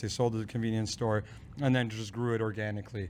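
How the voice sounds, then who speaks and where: A man is speaking. He goes at a very fast pace. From born in former Yugoslavia, moved via Germany to Ohio as a child. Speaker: brewery owner. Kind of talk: casual chat. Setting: brewery production facility.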